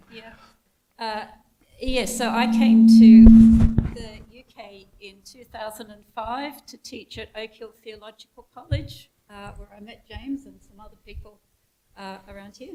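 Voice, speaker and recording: A woman with an Australian accent speaks in a fairly high pitch at a fairly slow pace, her intonation monotone and flat. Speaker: theologian and former lecturer. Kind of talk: interview then talk.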